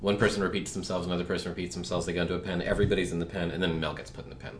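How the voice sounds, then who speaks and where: In a room with audible echo, a man with a very deep, low pitch talks at a very fast pace with hardly any pauses and fairly even intonation. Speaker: comic strip creator and podcast co-host. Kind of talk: casual chat.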